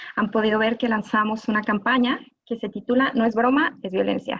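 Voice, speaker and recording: A woman's fairly high voice in a Mexican accent at a moderate pace. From Mexico. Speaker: gender violence specialist, lawyer. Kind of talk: live panel talk.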